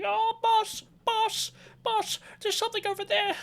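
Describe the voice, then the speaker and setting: At a moderate pace, an extremely high-pitched put-on character voice speaks. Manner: eager, servile.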